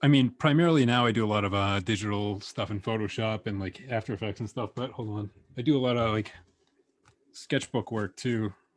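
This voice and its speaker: This is an ordinary speaking voice with an American accent and ordinary pitch variation. The pace is fairly quick, over a quiet background. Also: man, fairly low pitch for a man. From United States. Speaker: animator and illustrator. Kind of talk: casual interview.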